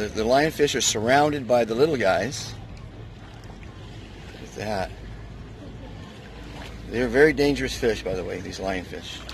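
Vocal fry runs through speech at a fairly slow pace, with ordinary pitch variation and long, frequent pauses. Faint background noise sits underneath. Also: man, fairly low pitch for a man.

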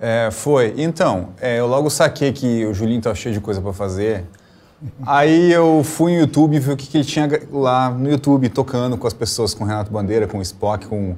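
Medium-pitched male voice at a moderate pace, with lively intonation. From Rio Grande do Sul, Brazil. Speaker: cellist and music professor. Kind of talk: interview. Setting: video call. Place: studio.

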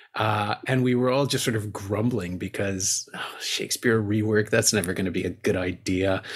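A man speaks with lively intonation in a somewhat breathy voice. The recording is very clean, with a silent background. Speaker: podcast host and film festival programmer. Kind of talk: casual interview chat about a film.

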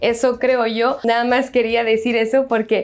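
Speaking with a French accent, a woman uses a high pitch and an animated tone at a moderate pace. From France. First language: French (speaking Spanish). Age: 20s. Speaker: YouTuber; vlogger. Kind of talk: casual vlog monologue. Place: home room. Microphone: lapel.

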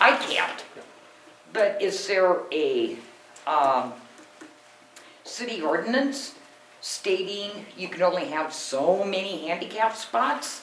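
Very slow speech broken by long, frequent pauses, over noticeable background noise. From US Pacific Northwest, Washington. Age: 60s. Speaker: resident speaking at council meeting. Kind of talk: public comment presentation. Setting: city council meeting room.

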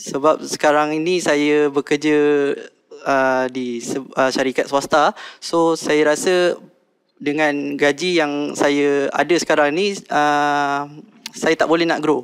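Against a quiet background, a man talks at a very slow pace with a fairly high pitch and fairly even intonation. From Malaysia, Selangor (Shah Alam); Selangor, Malaysia. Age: 20s. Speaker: contestant in a business pitch competition. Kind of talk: business pitch and Q&A. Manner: halting, many fillers. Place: studio. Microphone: headset.

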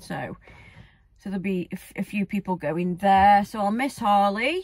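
A woman's somewhat breathy voice at a moderate pace, with a dry sound and no echo. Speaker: vlogger. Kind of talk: casual vlog chat. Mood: cheerful, laughing. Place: car. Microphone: phone near.

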